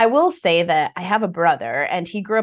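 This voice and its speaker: Against a quiet background, a woman with an American accent talks at a moderate pace in an unremarkable speaking voice with ordinary pitch variation. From United States. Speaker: financial coach. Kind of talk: interview.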